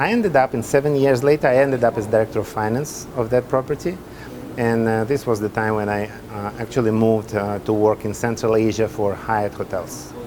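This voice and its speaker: Fairly quick, fairly evenly intoned speech from a man at medium pitch, over noticeable background noise. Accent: Russian. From Russia (Soviet Union). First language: Russian. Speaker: hotel development executive. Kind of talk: interview. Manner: halting.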